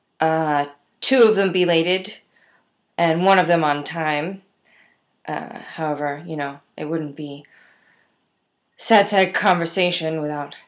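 A woman's very deep, low voice at a fairly slow pace, with ordinary pitch variation and a quiet background. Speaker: video diarist. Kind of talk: casual talk to camera. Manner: rambling, self-deprecating. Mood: wry, self-mocking. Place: home room. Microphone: webcam.

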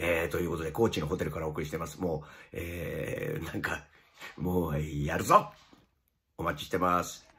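A man speaks in a very deep, low voice at a moderate pace. His intonation is monotone and flat. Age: 50s. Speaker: comedian and stage performer; comedian. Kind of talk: casual video announcement. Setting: hotel room. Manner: hesitant with many fillers. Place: home room. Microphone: phone near.

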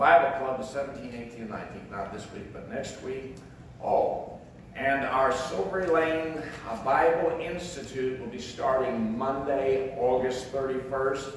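Strong room echo and light background noise surround a man speaking at a fairly slow pace. His loudness swings widely while his pitch varies in an ordinary way. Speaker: pastor or Sunday school leader. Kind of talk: church announcements. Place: church. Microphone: camera far.

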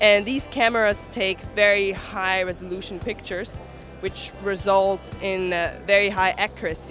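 Over clear music in the background, a woman talks at a fairly slow pace with fairly even intonation in a dry sound with no echo. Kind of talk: interview answer. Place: hall. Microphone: handheld.

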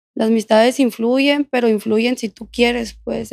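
A woman with a fairly high pitch speaks at a fairly slow pace with fairly even intonation. The sound is dry with no echo, over a quiet background. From Mexico, Culiacán, Sinaloa; Sinaloa, Mexico. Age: 20s. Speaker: former prisoner telling her story; podcast guest. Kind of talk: interview testimony. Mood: calm, reflective personal account. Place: studio. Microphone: studio mic.

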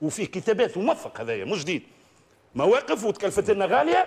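The speaker is a man. His voice is high-pitched. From Tunisia. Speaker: independent member of parliament; talk show guest. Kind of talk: televised political debate. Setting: tv studio. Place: studio. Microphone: lapel.

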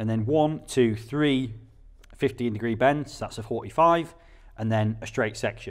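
His delivery is fairly slow. The pitch of this man's voice rises and falls in an ordinary way. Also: quiet background. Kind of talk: tutorial. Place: workshop.

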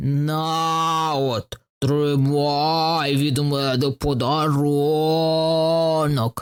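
Growling in a put-on character voice, the speaker drawls at a very slow pace with a low-to-middle pitch and a monotone, flat delivery.

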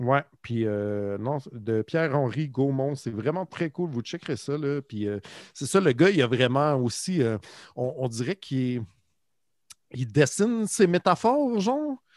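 A man's medium-pitched voice in a Quebec accent, lively intonation, long and frequent pauses, a very clean recording with a silent background. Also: fairly slow pace. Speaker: podcast co-host. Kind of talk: casual chat.

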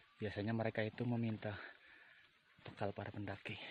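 At a moderate pace, a man speaks over light background noise in a dry sound with no echo. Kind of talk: casual vlog commentary. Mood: nervous, slightly scared. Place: forest. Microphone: phone near.

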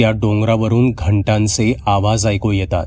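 The clip features an unforced reading voice. It is nothing more than that.

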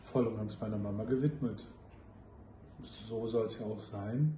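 A dark, mellow tone comes through with audible room echo. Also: man.

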